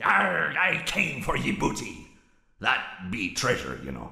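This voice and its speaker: A man's put-on character voice, raspy and fairly low-pitched, at a fairly slow pace with a slight echo. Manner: playful.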